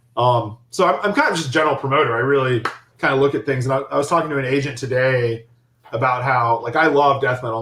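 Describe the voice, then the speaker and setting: A man speaks with an American accent at a medium pitch. His pace is very fast and his intonation fairly even. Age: 30s. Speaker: philosophy professor and club promoter. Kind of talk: interview. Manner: halting with frequent repetitions.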